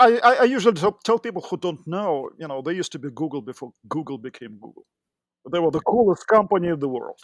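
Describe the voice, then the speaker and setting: A man's high voice at a very fast pace, with very wide pitch swings and big swings in loudness, in a dry, close sound with no echo. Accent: Russian. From Russia. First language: Russian. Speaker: tech entrepreneur and engineering manager. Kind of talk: podcast interview. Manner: hesitant, with fillers.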